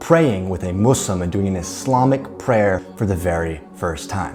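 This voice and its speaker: Music plays in the background as a man speaks. He has an American accent and lively intonation. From United States. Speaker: entrepreneur, podcast host. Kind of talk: personal story told to camera. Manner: casual, conversational.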